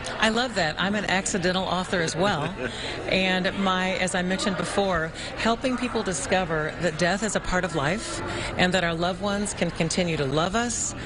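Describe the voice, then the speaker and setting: Over noticeable background noise, a woman speaks at a moderate pace and medium pitch with ordinary pitch variation and very even loudness. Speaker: author. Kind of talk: live TV interview answer.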